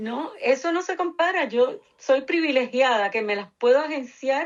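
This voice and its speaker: A woman in a Puerto Rican accent speaks at a high pitch with very wide pitch swings. Her pace is fairly slow. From Puerto Rico, Cuban family. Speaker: researcher, nonprofit director. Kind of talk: interview.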